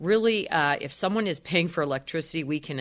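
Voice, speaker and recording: Fairly quick and full of lively intonation, a woman speaks in a western Pennsylvania accent at a very deep, low pitch. Her voice carries vocal fry. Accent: western Pennsylvania American. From Erie, Pennsylvania. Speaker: energy advisor. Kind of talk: radio interview. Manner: hesitant with frequent fillers.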